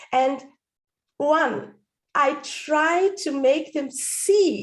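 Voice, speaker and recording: With lively intonation, a woman speaks in a Dutch accent at a high pitch. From Netherlands. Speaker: stand-up comedian and speaking coach; voice-over artist. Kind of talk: interview answer.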